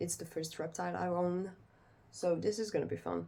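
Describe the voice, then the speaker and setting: At a fairly slow pace, a woman speaks with a French accent. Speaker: pet owner vlogger. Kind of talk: casual vlog, unedited talk to camera. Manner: halting, many fillers.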